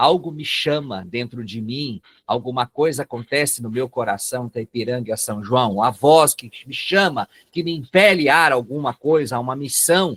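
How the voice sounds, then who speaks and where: A man with a northern Paraná accent speaks at a medium pitch with ordinary pitch variation and big swings in loudness, the sound dry and close with no echo. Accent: northern Paraná interior accent, rhotic r. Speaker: psychoanalyst and lecturer. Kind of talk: webinar lecture. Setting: online webinar.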